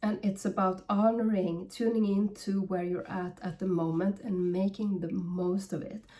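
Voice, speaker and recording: The speaker has a non-native accent and a fairly slow pace. The intonation is fairly even. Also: woman. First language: not English. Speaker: spiritual medium. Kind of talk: channeled guidance reading. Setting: at home. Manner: halting.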